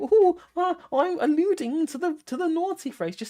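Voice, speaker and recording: A squeaky, put-on character voice sits at an extremely high pitch. It moves at a moderate pace. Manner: giggling, coy, nervous.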